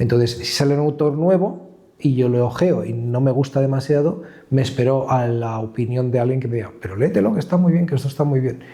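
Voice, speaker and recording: A man speaks at a fairly quick pace in a medium pitch, an ordinary speaking voice with ordinary pitch variation. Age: 50s. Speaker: comic art gallery co-founder. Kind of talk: interview.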